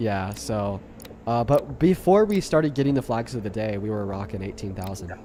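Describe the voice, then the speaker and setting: A man with lively intonation keeps a moderate pace, noticeable background noise running beneath his voice. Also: fairly low pitch for a man. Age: 20s. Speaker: political debate streamer. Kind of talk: heated debate; casual chat. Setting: livestream on TikTok. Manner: animated.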